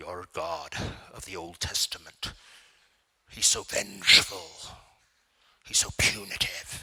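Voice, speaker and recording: Putting on a character voice, a man speaks at a very deep, low pitch with big swings in loudness and long, frequent pauses. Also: fairly slow pace. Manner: critical, accusatory.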